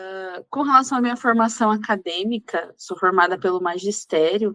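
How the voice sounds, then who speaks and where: A woman talks in a plain, everyday voice at medium pitch and a moderate pace, with ordinary pitch variation. Her loudness swings widely. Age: 20s. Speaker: youth ministry lay advisor. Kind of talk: podcast interview, personal testimony.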